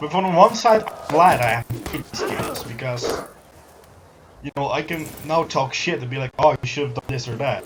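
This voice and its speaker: Over noticeable background noise, a man speaks at a fairly high pitch with lively intonation and big swings in loudness. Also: moderate pace. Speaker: gaming streamer. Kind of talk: casual chat.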